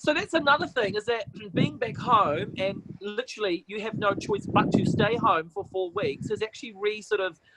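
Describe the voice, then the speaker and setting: A man with a New Zealand accent speaks in a raised, projected voice, high-pitched for a man, with lively intonation and an animated tone. Noticeable background noise sits behind him. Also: moderate pace, hardly any pauses. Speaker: TV presenter and MC. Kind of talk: casual chat. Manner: loud.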